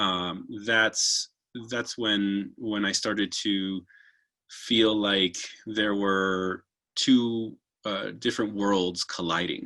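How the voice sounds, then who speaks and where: A man's fairly low, bright, sharp voice with a Spanish accent, very slow pace and fairly even intonation, on a very clean recording with a silent background. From US, Argentinian family. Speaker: opera singer. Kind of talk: interview. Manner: halting, many fillers.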